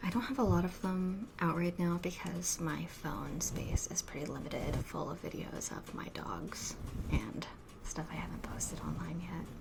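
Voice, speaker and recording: Whispering at a moderate pace, a woman is heard. Noticeable background noise runs underneath. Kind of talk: ASMR soft-spoken talk to camera. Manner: soft-spoken.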